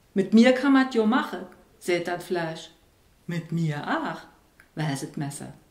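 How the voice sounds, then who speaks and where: Against a quiet background with audible room echo, a woman talks at a very slow pace with lively intonation. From Saarland. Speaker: writer. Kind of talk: poetry reading. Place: home room. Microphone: camera far.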